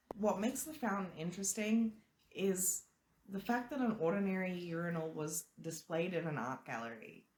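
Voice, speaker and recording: A somewhat breathy voice moves at a moderate pace with very wide pitch swings. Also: woman, medium pitch for a woman. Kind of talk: casual talk to camera.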